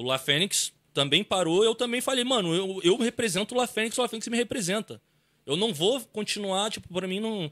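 The tone is bright and sharp, with lively intonation at a moderate pace. The recording is very clean, with a silent background and a dry, close sound with no echo. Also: man, high pitch for a man. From Ceará, Brazil. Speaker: YouTuber in stunt group. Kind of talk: casual chat.

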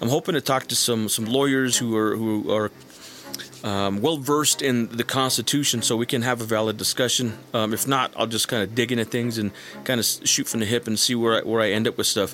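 Music plays in the background while a man at medium pitch talks fairly quickly. His intonation is fairly even and his loudness very even. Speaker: YouTuber and military veteran. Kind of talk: casual monologue.

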